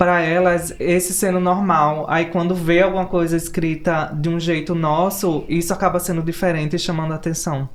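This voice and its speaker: At a moderate pace with hardly any pauses, a woman with a Pernambuco accent and a fairly low pitch speaks in a monotone, flat intonation over noticeable background noise. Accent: Pernambuco Brazilian Portuguese. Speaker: writer. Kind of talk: panel discussion.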